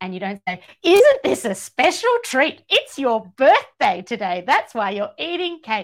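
Speaking with an Australian accent at a fairly slow pace, a woman with a high pitch swings her pitch very widely and hardly pauses at all. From Georgia, former Soviet Union, raised in Australia. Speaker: author and radio broadcaster. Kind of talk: casual chat. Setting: podcast recording, in person.

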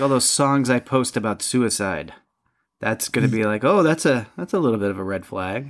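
With an upstate New York accent, a man talks at a moderate pace with lively intonation. His pitch sits in the medium range. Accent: upstate New York long vowels. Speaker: podcast co-host. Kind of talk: casual chat. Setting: online recording platform.

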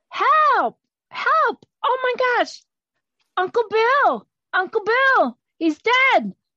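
Putting on a shrill character voice at an extremely high pitch, a woman speaks very slowly with long, frequent pauses. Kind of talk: comic improv overacting. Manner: hysterical, shrill, panicky.

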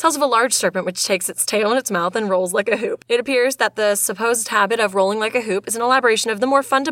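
The reading voice is unforced. Pitch moves up and down in an ordinary way.

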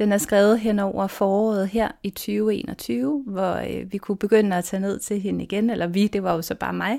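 A woman with a dark, mellow tone speaks at a moderate pace, with ordinary pitch variation and hardly any pauses. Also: medium pitch for a woman, very clean recording, silent background. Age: 40s. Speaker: lawyer and minimalism blogger. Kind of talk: interview. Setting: her bedroom, head inside the wardrobe.

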